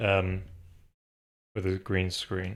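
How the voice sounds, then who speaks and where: In a very clean recording with a silent background, a man mumbles in a fairly low pitch. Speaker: game developer streamer. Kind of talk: live coding stream. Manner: mumbling. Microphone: slight echo in room.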